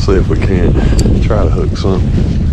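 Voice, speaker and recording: A man with an American accent talks at a fairly quick pace. There is noticeable background noise and audible room echo. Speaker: fishing vlogger. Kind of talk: casual outdoor vlog narration. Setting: outdoors at a pond. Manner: casual, animated.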